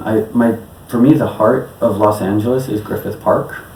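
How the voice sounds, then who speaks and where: Medium-pitched male speech with an American accent, ordinary pitch variation and a moderate pace, amid noticeable background noise. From New York City. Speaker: electronic musician. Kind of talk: interview answer.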